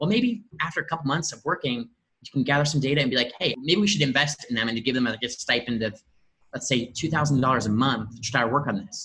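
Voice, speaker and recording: Talking at a very fast pace, a man with an American accent has a bright, sharp tone. His medium pitch shows ordinary pitch variation. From US Midwest, Indianapolis. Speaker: startup growth lead. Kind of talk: casual interview.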